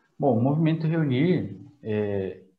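Lively intonation from a man with a fairly high pitch, plus audible room echo. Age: 20s. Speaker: church community group leader. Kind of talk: casual faith conversation.

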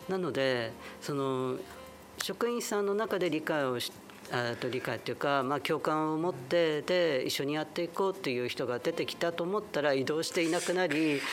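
Fairly high male voice at a moderate pace with ordinary pitch variation, music playing in the background. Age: 50s. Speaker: LGBTQ advocacy group leader. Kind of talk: interview. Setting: community salon venue.

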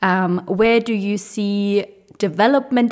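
A very slow pace with fairly even intonation. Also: woman. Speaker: career coach. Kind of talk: podcast monologue, career advice.

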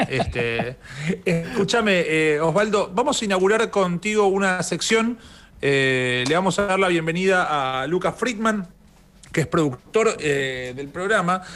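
The voice moves at a fairly slow pace with lively intonation. The recording is very clean, with a silent background. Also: man, high pitch for a man. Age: 30s. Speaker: radio host. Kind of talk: interview. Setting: studio.

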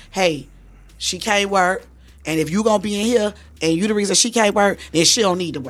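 A woman with an unremarkable speaking voice, medium in pitch, at a fairly quick pace with ordinary pitch variation. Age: 40s. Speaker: strip club house mom. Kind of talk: casual interview.

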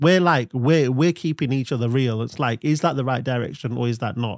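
In a very clean recording with a silent background, a man talks at a medium pitch with ordinary pitch variation. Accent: English Midlands. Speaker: brand consultant, agency owner. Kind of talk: casual chat.

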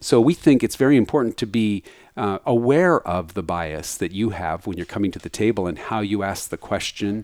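On a very clean recording with a silent background, a man speaks at a moderate pace with fairly low pitch and lively intonation, the sound dry and close with no echo. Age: 50s. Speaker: tech executive and author. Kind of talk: interview conversation. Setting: office. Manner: animated.

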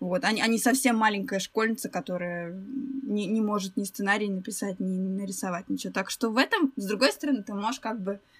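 A woman speaks at a fairly quick pace in a plain, everyday voice, her pitch medium with ordinary variation. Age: 20s. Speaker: illustrator, former animator. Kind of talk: casual chat.

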